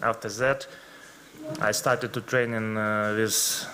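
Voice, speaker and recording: Amid noticeable background noise and audible room echo, a man with a Ukrainian accent speaks with fairly even intonation. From Ukraine. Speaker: footballer. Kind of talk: press conference. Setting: press conference room. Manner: halting.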